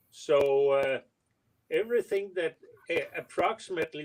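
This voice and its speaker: Speaking in an unremarkable speaking voice, a man moves at a fairly slow pace with lively intonation. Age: 50s. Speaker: model railroad hobbyist. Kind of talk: casual chat.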